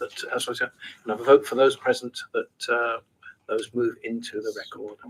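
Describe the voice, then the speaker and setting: A man talks at a fairly quick pace. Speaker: council committee chair. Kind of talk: formal meeting chairing. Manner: hesitant, many fillers; loud, projected. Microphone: too quiet, poor sound system.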